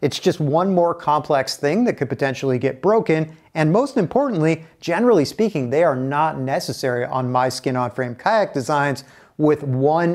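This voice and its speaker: A man at a moderate pace, ordinary pitch variation, quiet background. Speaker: instructor. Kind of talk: tutorial. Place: home room. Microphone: lapel.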